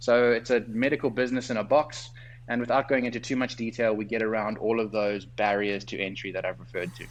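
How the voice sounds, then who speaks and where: In a South African accent, a man talks at a very fast pace with vocal fry and fairly even intonation. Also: medium pitch for a man. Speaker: doctor and entrepreneur. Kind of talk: interview. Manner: articulate, structured.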